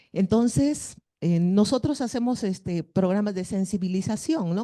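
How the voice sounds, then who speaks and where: Against a quiet background, a woman speaks at a moderate pace and medium pitch with a dark, mellow tone and lively intonation, the sound dry and close with no echo. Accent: northern Peruvian. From northern Peru (Piura). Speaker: schoolteacher. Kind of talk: audience question at a conference.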